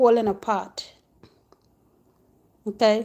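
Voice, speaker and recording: With a non-native accent, a woman speaks at a high pitch in a dark, mellow tone. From Africa. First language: not English. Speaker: spiritual teacher. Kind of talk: casual monologue. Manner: halting.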